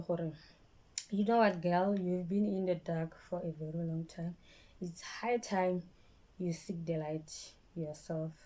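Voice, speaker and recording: With a Botswana accent, a woman speaks in a dark, mellow tone at a fairly slow pace, her intonation fairly even and her long pauses frequent. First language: Setswana. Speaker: vlogger. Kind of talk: personal storytime vlog. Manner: halting, repeats words; speech affected by stroke.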